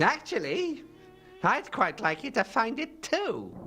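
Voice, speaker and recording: Over clear background music, a put-on character voice with very wide pitch swings speaks fairly slowly at a fairly high pitch. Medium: video game. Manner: dry, wry.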